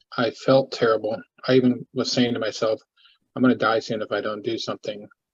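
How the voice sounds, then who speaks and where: With a medium pitch and monotone, flat intonation, a man speaks at a fairly quick pace in a somewhat breathy voice. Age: 60s. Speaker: support group member sharing health story. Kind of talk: testimony. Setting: video call. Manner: halting, many false starts.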